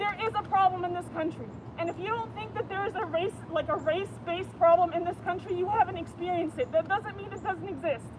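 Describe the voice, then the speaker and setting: Crowd noise fills the background as a woman speaks at an extremely high pitch. She talks very fast with hardly any pauses. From Canada. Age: 30s. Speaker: passerby at a protest. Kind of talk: heated debate. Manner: animated.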